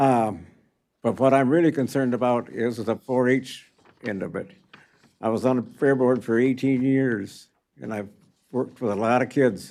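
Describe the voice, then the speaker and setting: A man speaks at a medium pitch with a dark, mellow tone, his fairly even intonation broken by long, frequent pauses. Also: moderate pace. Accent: American. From rural Michigan, Eaton County. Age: 80s+. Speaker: township supervisor and farmer. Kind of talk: public comment at county board meeting. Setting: public meeting room.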